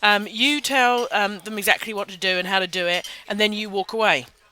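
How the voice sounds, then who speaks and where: A woman with a British accent speaks quietly over noticeable background noise. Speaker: social media marketing webinar host. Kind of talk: casual webinar talk. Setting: webinar in a busy public venue. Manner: informal, off the cuff.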